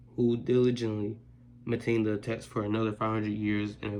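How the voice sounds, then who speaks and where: A man's fairly low, monotone, flat voice at a moderate pace, with audible room echo. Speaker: reads the Bible on his channel. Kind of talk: reading aloud. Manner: halting, stumbles over words; casual.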